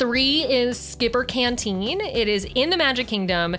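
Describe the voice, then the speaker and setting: Over music in the background, a woman with an American accent speaks in an animated tone, her fairly high voice carrying lively intonation. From Chicago, US Midwest. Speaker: Disney podcaster and writer. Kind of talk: casual chat.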